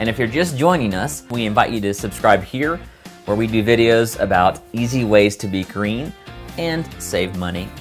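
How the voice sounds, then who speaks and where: Clear music plays in the background as a man with a fairly low pitch speaks at a moderate pace. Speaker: channel host. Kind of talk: channel announcement to camera. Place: studio.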